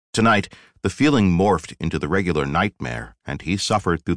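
Quiet surroundings and an unforced reading voice

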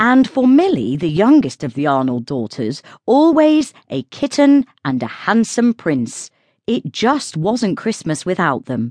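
A woman with a British accent speaks at medium pitch and a fairly slow pace, her tone warm and animated with very wide pitch swings. The background is quiet, and the sound is dry and close with no echo. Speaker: audiobook narrator. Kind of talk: audiobook narration, scripted reading aloud of a British Christmas novella. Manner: warm, even storyteller's pace, gently whimsical and lightly animated.

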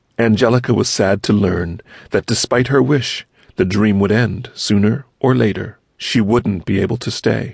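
Keeping his loudness very even, a man speaks in an animated tone at a moderate pace, with fairly low pitch and ordinary pitch variation. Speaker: audiobook narrator. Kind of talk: audiobook narration. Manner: animated, storytelling, voicing characters; gentle, child-friendly pacing.

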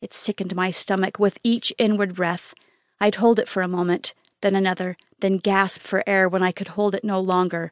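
A woman speaks at medium pitch and a moderate pace, her intonation monotone and flat yet her tone intense and dramatic. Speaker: audiobook narrator. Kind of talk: audiobook reading of a fantasy novel, first-person male character, dramatic. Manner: intense, dramatic, emotional, urgent in the frantic scenes.

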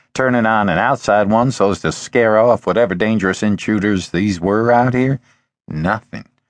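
Plain reading aloud, the background quiet

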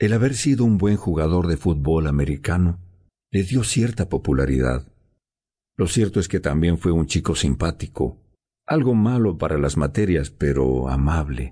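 With a dark, mellow tone and a very deep, low pitch, a man speaks in a solemn tone with lively intonation and very even loudness. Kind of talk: dramatic audiobook narration, first-person teen girl's story. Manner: solemn, emotional, slow and hushed, grief-laden.

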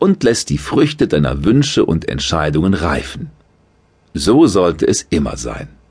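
At a fairly slow pace, a man with a very deep, low pitch and vocal fry speaks with very wide pitch swings. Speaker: audiobook narrator. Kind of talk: guided meditation. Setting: studio. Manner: slow, soothing, calm.

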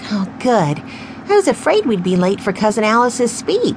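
The speaker reads in a natural voice.

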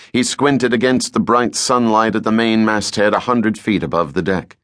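A man speaks at a fairly low pitch and a moderate pace. The background is quiet. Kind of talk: audiobook narration of a novel. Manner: dramatic, tense, building suspense.

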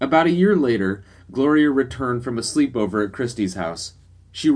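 Someone reads in an unforced voice.

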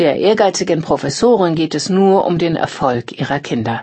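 A woman speaking at a fairly slow pace. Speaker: audiobook narrator. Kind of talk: scripted newsreading of magazine articles. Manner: formal.

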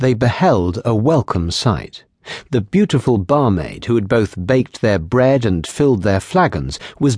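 In an unforced reading voice, the speaker reads with lively intonation.

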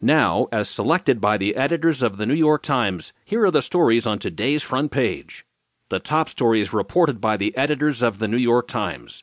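Over a quiet background, a man with a normal speaking voice and a medium pitch talks at a fairly quick pace. His intonation is lively, and the sound is dry and close with no echo. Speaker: audiobook news narrator. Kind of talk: newsreading narration of a scripted daily newspaper digest. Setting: studio audiobook recording. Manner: formal, measured and steady, grave tone for the attack story; clear, even, professional delivery.

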